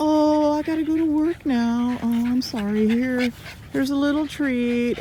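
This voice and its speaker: Someone puts on a whiny, high-pitched character voice at a moderate pace, with clear noise in the background. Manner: whiny, apologetic, guilt-ridden.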